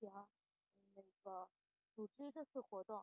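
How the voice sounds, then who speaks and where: A woman is talking. The ups and downs in her pitch are ordinary. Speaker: exam candidate student. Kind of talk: mock interview answer. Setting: online voice chat. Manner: halting, many fillers.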